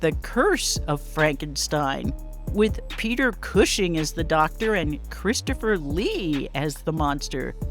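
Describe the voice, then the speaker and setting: Music plays behind a woman's voice. She speaks at a fairly slow pace. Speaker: author and paranormal expert. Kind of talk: history narration to camera.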